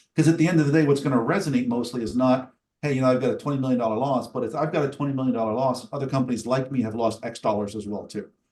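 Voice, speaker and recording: At a very fast pace with hardly any pauses, a man speaks in a medium pitch. His pitch varies in an ordinary way. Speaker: cyber risk software vendor presenter. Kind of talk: webinar product demo and Q&A.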